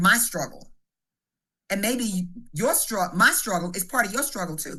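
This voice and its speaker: With a bright, sharp tone and lively intonation, a woman speaks at a medium pitch. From US South, southeast Missouri. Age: 60s. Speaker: blues singer. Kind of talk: interview.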